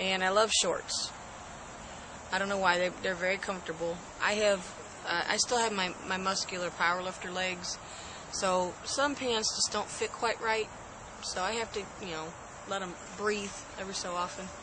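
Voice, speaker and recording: A soft-spoken woman talks at a medium pitch with fairly even intonation. She takes long, frequent pauses over noticeable background noise. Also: moderate pace. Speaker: host's wife. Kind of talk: casual chat.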